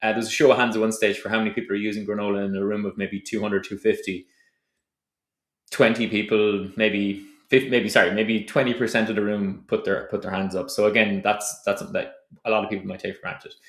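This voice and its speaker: Fairly low-pitched male voice with a slight Tipperary accent, very fast and monotone, with big swings in loudness, on a very clean recording with a silent background. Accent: slight Tipperary Irish. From Ireland, County Tipperary. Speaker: startup founder. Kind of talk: advice talk to camera.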